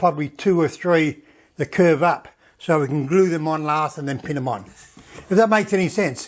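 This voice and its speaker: Very clean recording with a silent background. A man with an Australian accent speaks at a high pitch and a moderate pace, with ordinary pitch variation. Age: 70s. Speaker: woodworking channel host. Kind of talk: casual tutorial narration. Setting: home workshop shed. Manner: halting, many fillers and repeats.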